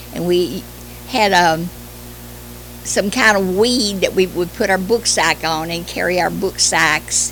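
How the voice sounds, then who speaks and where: A woman talks with a Kentucky accent while music plays in the background. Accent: Kentucky Southern US. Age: 80s+. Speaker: retired schoolteacher. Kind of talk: oral history interview. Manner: halting with hesitations.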